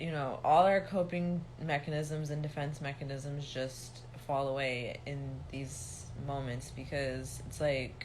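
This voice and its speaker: Audible room echo surrounds a woman speaking at a very slow pace in a very deep, low voice. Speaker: reiki healer and spiritual teacher. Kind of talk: livestream monologue. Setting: livestream. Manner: serious, no mirth in tone.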